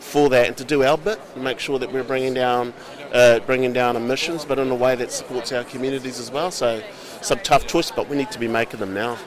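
Speaking very fast in a New Zealand accent, a man at medium pitch uses ordinary pitch variation against noticeable background noise. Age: 50s. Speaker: politician. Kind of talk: interview.

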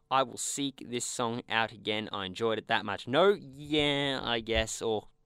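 Someone with an Australian accent speaks at a fairly slow pace on a very clean recording with a silent background and a dry, close sound with no echo. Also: man. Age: young. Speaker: podcast host. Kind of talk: casual chat. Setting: studio.

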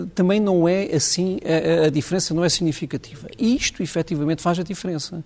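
At a fairly quick pace, a man with a high pitch speaks with ordinary pitch variation. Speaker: doctor and union leader. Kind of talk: televised panel debate.

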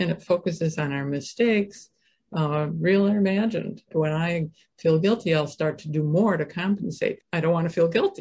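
A woman's somewhat breathy voice with a dark, mellow tone at a moderate pace. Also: fairly low pitch for a woman, ordinary pitch variation. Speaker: author and caregiver well-being specialist. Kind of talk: interview conversation with guided exercise.

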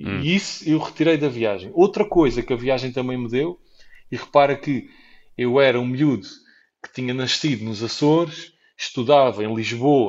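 Speaking at a moderate pace, a man uses an ordinary speaking voice, his medium pitch showing ordinary variation. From Portugal. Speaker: traveller and entrepreneur. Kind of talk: interview.

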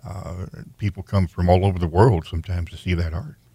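A man's very deep, low, somewhat breathy voice on a very clean recording with a silent background. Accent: American. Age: 70s. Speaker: radio host. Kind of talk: radio interview. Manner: halting, frequent fillers.

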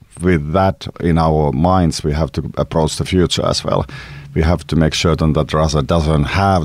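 A man speaks with a very deep, low pitch and ordinary pitch variation. Noticeable background noise runs under the clip. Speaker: Finnish presidential candidate and security analyst. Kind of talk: interview.

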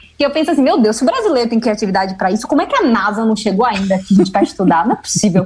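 A woman at a very fast clip, hardly pausing, fairly high-pitched, with lively intonation, very even loudness and noticeable background noise. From Salvador, Bahia, Brazil. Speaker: animal scientist and doctoral student. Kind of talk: casual interview.

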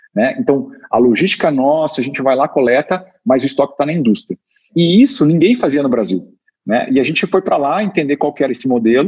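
This man has an unremarkable speaking voice with a fairly high pitch. He talks at a fairly quick pace with lively intonation. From Curitiba, Brazil. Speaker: startup co-founder and executive. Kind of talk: interview.

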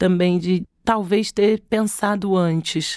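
Medium in pitch, a woman speaks in a normal speaking voice with fairly even intonation. The sound is dry and close, with no echo. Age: 40s. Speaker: creative director. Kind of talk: casual interview chat.

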